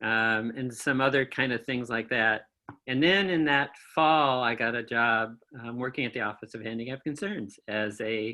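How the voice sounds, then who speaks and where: Here a man talks with a Midwestern American accent at a medium pitch. His pace is moderate and his pitch varies in an ordinary way. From Kalamazoo, Michigan. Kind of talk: interview answer. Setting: remote video call.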